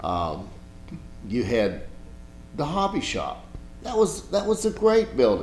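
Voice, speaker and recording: With music playing behind him, a man talks very slowly in an American accent. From Blacksburg, Virginia. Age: 60s. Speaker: local historian and photographer. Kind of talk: oral history interview. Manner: casual, rambling with self-corrections.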